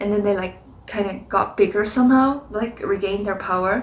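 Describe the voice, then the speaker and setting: This woman's voice sits at a fairly high pitch. She speaks with a non-native accent. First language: not English. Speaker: spiritual card reader. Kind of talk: reflective monologue. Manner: hesitant, many fillers.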